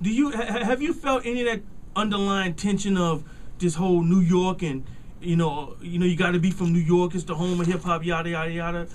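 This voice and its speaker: Talking at a fairly quick pace, a man uses a high pitch with ordinary pitch variation. Audible room echo and noticeable background noise run through the clip. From US South. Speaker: radio host. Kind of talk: radio interview. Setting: radio studio. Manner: halting, many repetitions.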